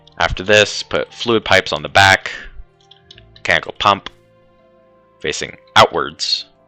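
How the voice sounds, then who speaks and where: Over music in the background, a man with a fairly low pitch talks at a fairly slow pace, the sound dry and close with no echo. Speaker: Minecraft tutorial maker. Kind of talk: gameplay tutorial narration. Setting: poor microphone. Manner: casual, hesitant.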